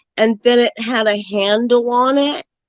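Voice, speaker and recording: A woman talks with an American accent. Her pitch is fairly high and her pace fairly slow. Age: 60s. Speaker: caller on open panel. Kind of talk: casual chat.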